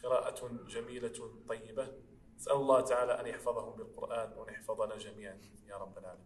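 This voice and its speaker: A man speaks at a moderate pace with big swings in loudness. There is light background noise. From Morocco. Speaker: Quran reciter. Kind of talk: interview answer. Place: church.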